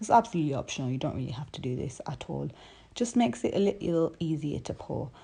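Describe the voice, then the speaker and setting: Talking at a very fast pace, a woman uses a very deep, low pitch with vocal fry and very wide pitch swings. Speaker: home cook. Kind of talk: recipe tutorial voiceover.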